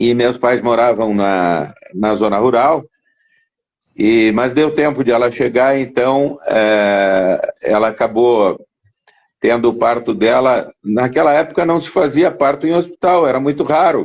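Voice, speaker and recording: A man talks at a fairly slow pace, his medium-pitched voice carrying lively intonation. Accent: southern Brazilian. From southern Brazil, Rio Grande do Sul (Jaguarão, Uruguay border). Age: 60s. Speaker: interview guest sharing life story. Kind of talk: casual interview. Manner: halting, many repetitions.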